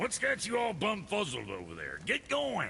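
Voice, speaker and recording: Raspy and gruff, this put-on character voice moves at a moderate pace over clear background noise. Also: man. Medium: video game. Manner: gruff, crude.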